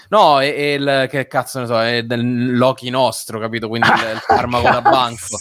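With noticeable background noise behind him, a man talks with hardly any pauses. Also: medium pitch for a man, fairly even intonation, moderate pace. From Rome. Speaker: writer and podcast co-host. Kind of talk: casual chat.

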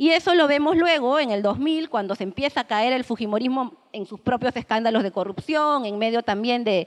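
A woman with an unremarkable speaking voice, lively intonation and a moderate pace, over a quiet background. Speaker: political analyst. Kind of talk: panel talk. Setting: room with audience.

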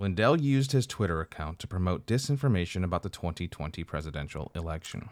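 A man with a very deep, low pitch talks at a very fast pace with hardly any pauses and very wide pitch swings. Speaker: podcast co-host. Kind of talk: casual banter. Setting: recorded on Zoom.

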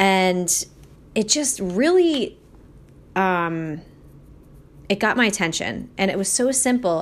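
A woman with a Philadelphia accent speaks fairly slowly with lively intonation on a very clean recording with a silent background. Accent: Philadelphia-area American English. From Delaware County, Pennsylvania. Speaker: podcast host and life coach. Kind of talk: casual solo monologue.

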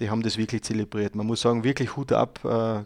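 A man speaks in a flat monotone at a medium pitch. The recording is very clean, the background silent. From Austria, Styria. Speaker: guest talking about his country. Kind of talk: casual interview. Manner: halting, many fillers.

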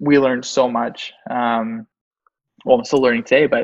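Speaking at a fairly quick pace, a man talks with a Canadian accent. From Canada, Mississauga (Toronto area). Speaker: SEO agency founder. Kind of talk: interview.

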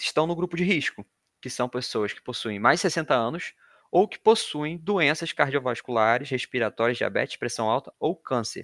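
Recorded very cleanly over a silent background, with a dry, close sound and no echo, a man speaks at a moderate pace with a fairly high pitch, lively intonation and a normal speaking voice. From Brazil, Rio de Janeiro. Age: 20s. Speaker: podcast host, environmental engineering student. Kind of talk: casual informative podcast chat.

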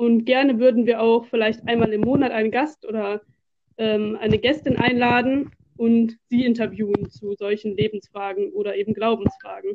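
A woman in a normal speaking voice talks at a moderate pace, her pitch fairly high with ordinary variation. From Germany, Duisburg (Ruhr area). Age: 20s. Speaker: podcast co-host, student teacher of religion. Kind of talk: scripted podcast trailer.

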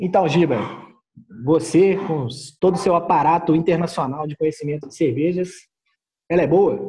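A man's high-pitched voice with a dark, mellow tone, ordinary pitch variation, a moderate pace and long, frequent pauses. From Minas Gerais, Brazil. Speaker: guest beer taster. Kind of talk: casual chat.

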